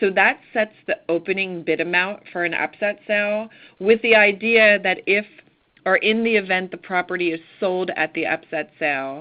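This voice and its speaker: A woman with an American accent speaks in a normal speaking voice at a moderate pace, a medium pitch and with ordinary pitch variation. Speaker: county tax official. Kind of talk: presentation on a conference call.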